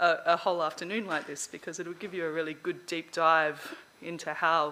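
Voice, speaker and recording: Someone speaks at a fairly quick pace with an Australian accent. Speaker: conference speaker on learning analytics. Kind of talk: lecture. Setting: stage with audience. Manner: fast.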